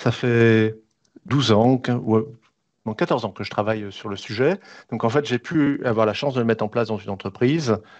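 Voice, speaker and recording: A man with a medium pitch speaks at a moderate pace, with ordinary pitch variation and long, frequent pauses, against a quiet background. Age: 60s. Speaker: business school executive. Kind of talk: webinar interview.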